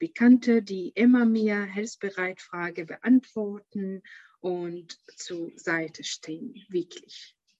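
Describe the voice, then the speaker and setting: A woman speaks at a very slow pace and medium pitch, her tone dark and mellow, with ordinary pitch variation and big swings in loudness. The sound is dry and close, with no echo. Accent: Arabic. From Syria. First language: Arabic (speaking German). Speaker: founder of an audiobook startup. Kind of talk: interview. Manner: halting, many filler sounds.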